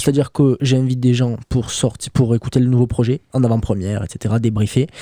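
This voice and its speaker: A man's medium-pitched, dark and mellow voice at a fairly quick pace, with fairly even intonation. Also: very even loudness, dry, close sound with no echo. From Toulouse, France. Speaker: rapper. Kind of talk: radio interview answer.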